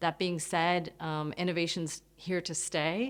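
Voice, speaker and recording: A woman with an American accent speaks in a plain, everyday voice, fairly low in pitch, at a moderate pace on a very clean recording with a silent background. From United States. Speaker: business advisor. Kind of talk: interview. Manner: measured, with frequent fillers.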